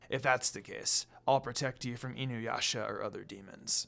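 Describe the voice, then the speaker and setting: Using a put-on character voice, a man speaks softly at a medium pitch and a moderate pace. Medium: read story. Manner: cool, reserved, murmuring.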